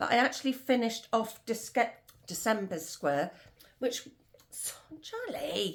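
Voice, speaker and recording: Long, frequent pauses break up a woman's fairly slow, fairly high-pitched speech, which has lively intonation and vocal fry. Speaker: crochet vlogger. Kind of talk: casual chat. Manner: rambling, with pauses and fillers.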